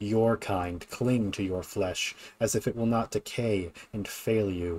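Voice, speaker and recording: A man's put-on character voice, fairly low in pitch, at a moderate pace, on a very clean recording with a silent background. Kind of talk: grandiose villain monologue. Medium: game stream. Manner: menacing, disdainful.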